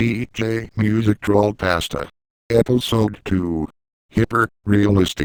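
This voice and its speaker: Recorded dry and close with no echo, a man talks at a fairly slow pace in a fairly low pitch. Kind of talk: episode title announcer. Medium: read story.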